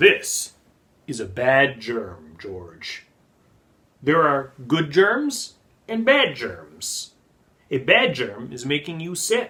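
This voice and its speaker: Using a put-on character voice, a man speaks at a fairly high pitch and a very slow pace. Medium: read story. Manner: gentle, patient.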